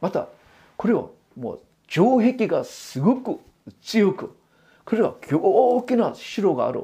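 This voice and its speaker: Long, frequent pauses break up speech that already goes very slowly. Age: 60s. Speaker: pastor. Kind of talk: sermon. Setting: church.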